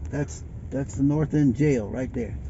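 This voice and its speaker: A man speaks at a moderate pace over noticeable background noise, with audible echo from the room. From Bridgeport, Connecticut (US Northeast). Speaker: local old-timer giving a tour. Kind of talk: casual chat while driving. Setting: in a car.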